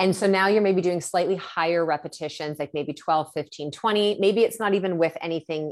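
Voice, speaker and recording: A woman talks in a normal speaking voice, fairly low in pitch with ordinary pitch variation, at a moderate pace. The recording is very clean, with a silent background. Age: 40s. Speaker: hormone educator. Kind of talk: casual chat.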